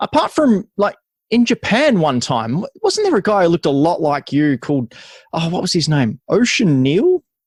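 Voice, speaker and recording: Speaking with an Australian accent, a man swings his pitch very widely, heard in a dry, close sound with no echo. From Adelaide, South Australia. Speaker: podcast host. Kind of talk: podcast interview.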